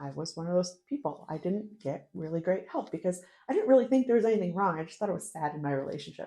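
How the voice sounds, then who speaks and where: A woman speaks very fast with an Inland North American accent. Her medium pitch carries a dark, mellow tone. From US Northeast, northern New York State. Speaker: podcast guest. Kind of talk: casual interview, personal life story.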